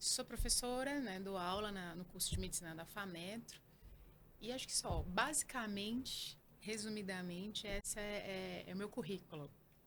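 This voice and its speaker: Moderate pace and ordinary pitch variation from a woman with a medium pitch, plus noticeable background noise. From Northeast Brazil, Alagoas. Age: 30s. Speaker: oncologist and professor. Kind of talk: interview.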